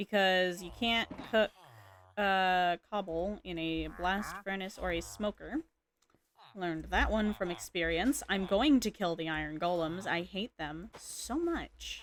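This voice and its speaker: A woman's quiet voice at a fairly slow pace, with ordinary pitch variation. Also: medium pitch for a woman, very clean recording, silent background. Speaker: gaming streamer. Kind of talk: casual live-stream commentary. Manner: quiet, low-key.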